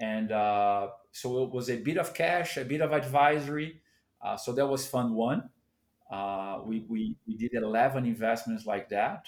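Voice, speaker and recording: A man with a Portuguese accent speaks fairly slowly at a medium pitch. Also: ordinary pitch variation, very clean recording, silent background. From Brazil, São Paulo. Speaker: venture capital investor. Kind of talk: interview.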